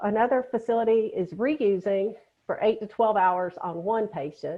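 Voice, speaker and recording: With a Southern US accent, a woman speaks at a moderate pace in a fairly high pitch with ordinary pitch variation. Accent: Southern US (Georgia). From Georgia, US South. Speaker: nurse educator, webinar presenter. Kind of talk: webinar lecture. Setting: online webinar.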